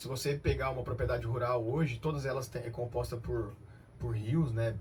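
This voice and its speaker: The speech runs at a very fast pace with vocal fry and fairly even intonation. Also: man. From Brazil, Cianorte, Paraná. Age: 30s. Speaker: company director. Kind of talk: radio interview.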